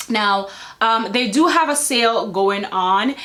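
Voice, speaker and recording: The speaker is a woman whose voice sits at a medium pitch. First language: not English. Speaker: beauty vlogger. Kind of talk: product review. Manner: casual, chatty.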